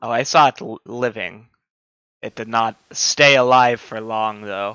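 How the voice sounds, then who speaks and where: A man performs a put-on character voice. He goes at a fairly slow pace. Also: medium pitch for a man. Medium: actual play. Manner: measured, scholarly.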